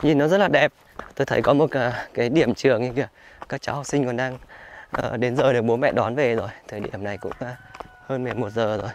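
Over light background noise, a man talks at a fairly quick pace with long, frequent pauses, ordinary pitch variation and a dry sound with no echo. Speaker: travel vlogger. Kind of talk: travel vlog narration with street chat. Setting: outdoors in a mountain village. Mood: admiring, enthusiastic. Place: open country. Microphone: phone near.

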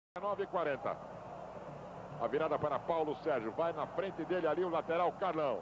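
With long, frequent pauses, a man speaks at a fairly quick pace in a fairly high pitch, his loudness very even and his pitch variation ordinary. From São Paulo. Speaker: football commentator. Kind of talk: live football play-by-play. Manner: relaxed, playful.

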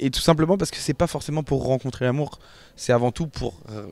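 The recording is dry with no echo as a man speaks with ordinary pitch variation. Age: 20s. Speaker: reality TV contestant. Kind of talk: interview answers; interview answer. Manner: hesitant, many fillers and repetitions. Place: office. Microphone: handheld.

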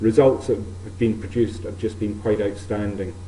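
A man speaks with a fairly low voice. Light background noise sits behind him. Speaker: archaeologist. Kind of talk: lecture. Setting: stage with audience. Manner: formal. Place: hall.

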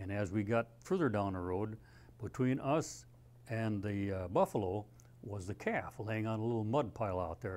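A man at a fairly low pitch and moderate pace, with long, frequent pauses. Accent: Upper Midwest. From Minnesota. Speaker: Vietnam war veteran, former Navy corpsman. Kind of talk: oral history interview, veteran recounting combat memories in plain unadorned anecdotes. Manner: halting, with frequent uh fillers and self-corrections; plainspoken and understated, dry matter-of-fact delivery of grim events. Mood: calm, reflective storytelling. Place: studio. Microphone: lapel.

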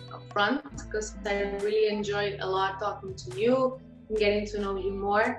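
A woman speaks at a moderate pace, with audible room echo. Clear music plays in the background. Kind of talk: interview answer. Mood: warm, cheerful. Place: home room. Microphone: video call.

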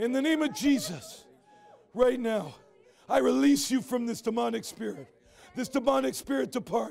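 A man shouting at a moderate pace with very wide pitch swings. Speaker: evangelist. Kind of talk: deliverance prayer, commanding spirits to leave. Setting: stage with audience. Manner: urgent, shouted exclamations. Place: hall.

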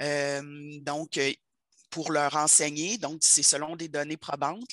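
Over a quiet background, a woman with a very deep, low pitch and a bright, sharp tone speaks at a very slow pace, the sound dry and close with no echo. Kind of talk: online meeting discussion.

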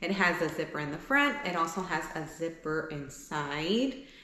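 At a fairly slow pace, the voice carries audible room echo. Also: woman. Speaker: vlogger. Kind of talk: casual try-on haul chat. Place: home room.

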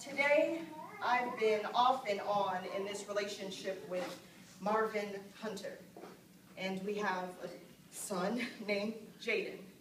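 Amid noticeable background noise, a woman speaks very slowly with long, frequent pauses and ordinary pitch variation. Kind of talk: dramatic monologue to an audience. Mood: earnest, serious. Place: stage. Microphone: camera far.

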